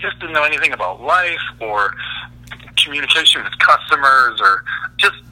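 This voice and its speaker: The speech goes at a moderate pace over noticeable background noise. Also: man. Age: 30s. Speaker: custom truck fabricator. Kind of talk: interview.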